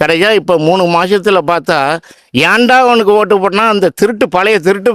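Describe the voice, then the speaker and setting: Speaking with fairly even intonation, a man keeps a high pitch. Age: 60s. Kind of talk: street interview answer.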